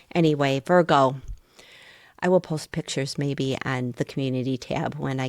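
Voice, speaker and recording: A woman's very deep, low pitch with vocal fry, dry and close with no echo, in a very clean recording with a silent background. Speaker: tarot reader. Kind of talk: tarot reading. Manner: animated.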